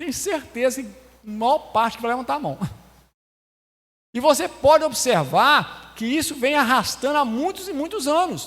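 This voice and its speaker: The delivery is fairly slow. Intonation is lively throughout. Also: man, extremely high pitch for a man. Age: 60s. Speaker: lay preacher. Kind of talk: sermon.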